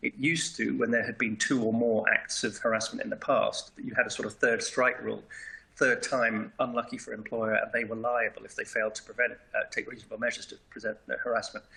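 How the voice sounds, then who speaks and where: A man with a British accent speaks at a very fast pace against noticeable background noise. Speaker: lawyer. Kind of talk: seminar presentation. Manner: hesitant, many fillers.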